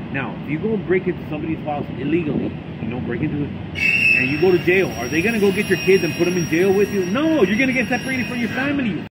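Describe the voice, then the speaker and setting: Loud background noise accompanies a man talking very fast. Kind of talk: casual conversation. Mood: animated, opinionated storytelling. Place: street. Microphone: camera far.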